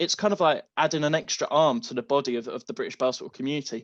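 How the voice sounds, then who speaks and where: This man has an English accent. He talks at a very fast pace. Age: 20s. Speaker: basketball social media creator and history student. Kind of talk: podcast interview.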